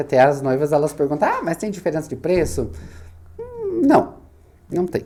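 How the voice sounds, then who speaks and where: Noticeable background noise runs through the clip. A man speaks at a moderate pace over it. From southern Brazil, Santa Catarina (Itaiópolis). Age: 30s. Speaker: wedding planner and business owner. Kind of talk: podcast interview. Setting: studio.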